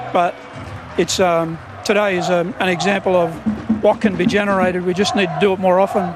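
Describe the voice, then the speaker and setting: A man in an Australian accent, high-pitched and monotone with flat intonation, at a fairly quick pace broken by long, frequent pauses, with music in the background. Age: 60s. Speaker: rugby league coach. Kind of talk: post-match interview.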